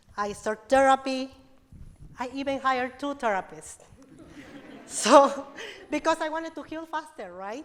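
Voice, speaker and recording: A woman's high-pitched voice with a non-native accent. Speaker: domestic violence advocate. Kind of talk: personal story speech to audience.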